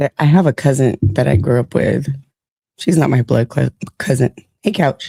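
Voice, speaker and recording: A woman speaks with a very deep, low pitch and a dark, mellow tone, her intonation lively and her loudness very even, with vocal fry and long, frequent pauses in a dry, close sound with no echo. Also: moderate pace. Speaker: livestream host. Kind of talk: casual chat.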